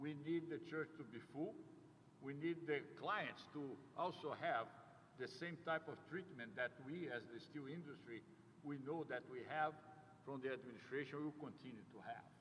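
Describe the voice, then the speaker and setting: A man speaks with a South American accent. His pitch is fairly high, with ordinary variation. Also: moderate pace. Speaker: company CEO. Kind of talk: ceremony speech. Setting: ribbon-cutting ceremony with audience. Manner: halting, many fillers.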